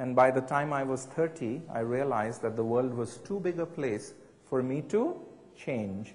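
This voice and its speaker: At a moderate pace, a man speaks with a somewhat breathy voice. His pitch is medium, with ordinary variation. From India. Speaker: professor. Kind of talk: public talk with audience discussion. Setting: gallery event with live audience, interpreted.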